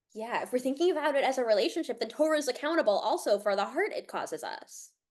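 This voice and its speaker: A woman with a high voice and an American accent, very fast, pitch leaping widely, over a quiet background. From Connecticut, US. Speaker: rabbi teaching a class. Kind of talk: interactive online class discussion.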